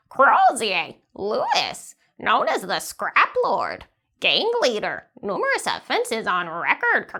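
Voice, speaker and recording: A woman puts on a character voice, pitched high. She talks at a fairly slow pace. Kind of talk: formal, informative.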